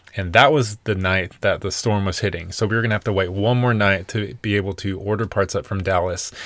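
In a very clean recording over a silent background, a man with an unremarkable speaking voice and a fairly low pitch talks at a fairly quick pace with hardly any pauses and fairly even intonation. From US South, Nashville, Tennessee. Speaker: podcast co-host, van lifer. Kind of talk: casual chat.

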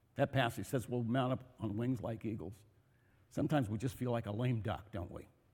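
A man speaks at medium pitch and a fairly quick pace. His tone is dark and mellow and somewhat breathy. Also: long, frequent pauses. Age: 70s. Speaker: pastor. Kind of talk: sermon. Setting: church.

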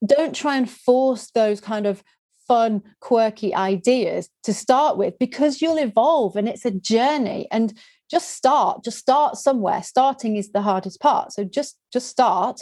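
A woman with a Yorkshire accent talks at a fairly slow pace in a high pitch, her tone dark and mellow and her intonation lively. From West Yorkshire, England. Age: 40s. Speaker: video producer and trainer. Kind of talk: interview. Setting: video call.

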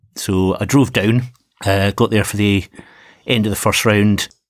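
A Scottish-accented man with a fairly low pitch, on a very clean recording with a silent background. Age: 50s. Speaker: fencing coach and podcast host. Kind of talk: casual chat.

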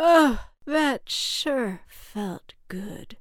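On a very clean recording with a silent background, a woman uses a put-on character voice, high-pitched and very slow, with lively intonation.

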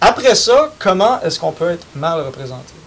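Noticeable background noise runs under a man's high-pitched voice. He speaks at a moderate pace, with very wide pitch swings. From Quebec, Saint-Charles-sur-Richelieu. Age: young. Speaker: youth party representative. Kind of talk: casual panel discussion.

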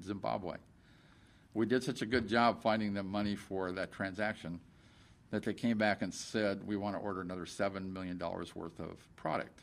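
A man with an ordinary speaking voice talks at a fairly quick pace, his fairly low pitch varying in an ordinary way. The recording is very clean, with a silent background. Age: 60s. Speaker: company CEO. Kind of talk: interview. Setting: company office.

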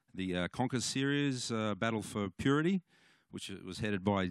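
In a dry, close sound with no echo, a man keeps a moderate pace. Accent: Australian. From Australia, Cooma, New South Wales. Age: 40s. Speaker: musician. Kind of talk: testimony. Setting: church. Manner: halting.

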